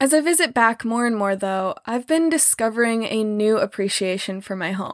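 A woman speaks in a normal speaking voice with lively intonation. She keeps a moderate pace with hardly any pauses. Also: fairly high pitch for a woman. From US Midwest, small-town Missouri. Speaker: podcast host, trauma survivor. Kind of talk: solo podcast monologue, partly scripted.

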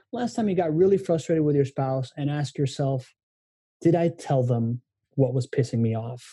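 Somewhat breathy and dark, mellow in tone, a man's fairly high voice moves at a moderate pace with lively intonation. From Miami, born in Venezuela. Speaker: guest, human connection expert. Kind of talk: casual interview conversation.

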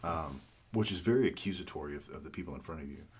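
A man's somewhat breathy voice at a fairly quick pace with ordinary pitch variation. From New Mexico. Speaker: pastor. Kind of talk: casual chat.

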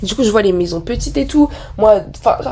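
A woman speaks in an animated tone. Noticeable background noise sits behind her. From France. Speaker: podcaster. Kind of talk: casual monologue.

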